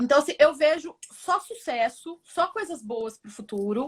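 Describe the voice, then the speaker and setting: A woman speaks with a rural Brazilian accent. Her pace is fairly slow. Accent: Brazilian countryside (caipira). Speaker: business professor. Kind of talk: interview conversation.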